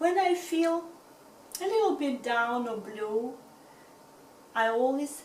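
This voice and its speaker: In a Russian accent, a woman speaks at a very slow pace. Her intonation is lively. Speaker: reads books aloud in videos.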